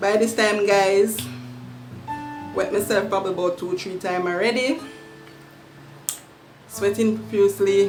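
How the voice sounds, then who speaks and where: Over music in the background, a woman with a Jamaican accent talks at a moderate pace and medium pitch, with fairly even intonation and long, frequent pauses. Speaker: YouTuber. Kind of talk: storytime talk to camera.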